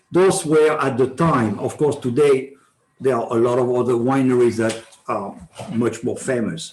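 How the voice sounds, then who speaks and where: A man talks at a moderate pace with a French accent. His pitch is medium, with ordinary pitch variation. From France, Bordeaux. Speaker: wine sales manager. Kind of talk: club talk to an audience. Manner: halting, many fillers.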